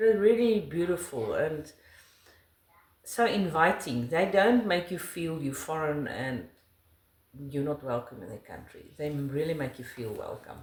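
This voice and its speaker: In a room with audible echo, a woman with a South African accent speaks with very wide pitch swings. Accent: South African Afrikaans. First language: Afrikaans. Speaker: interviewee, wife of the channel host. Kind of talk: casual interview chat.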